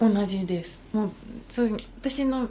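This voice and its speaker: A woman speaks at a fairly slow pace in a dark, mellow, somewhat breathy tone. Her intonation is lively, and the room echo is audible. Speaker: trail runner. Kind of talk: casual chat.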